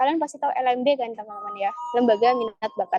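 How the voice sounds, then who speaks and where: A woman talks in an East Javanese accent at a high pitch. Her tone is dark and mellow, and the sound is dry and close with no echo. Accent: Surabaya-Pasuruan accent slipping in. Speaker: alumni speaker at student workshop. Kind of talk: online presentation. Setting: video call. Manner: casual, filler-heavy.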